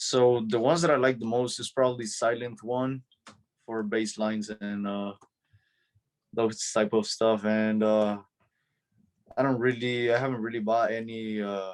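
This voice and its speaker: Using a Spanish accent, a man at medium pitch speaks at a moderate pace in a flat monotone, with long, frequent pauses. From El Salvador. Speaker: DJ. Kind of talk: interview. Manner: hesitant, many fillers.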